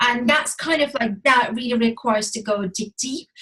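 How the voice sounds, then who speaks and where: A woman with a non-native accent speaks at a moderate pace. Her voice sits fairly high. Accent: foreign. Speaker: relationship coach. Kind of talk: casual chat. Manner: halting.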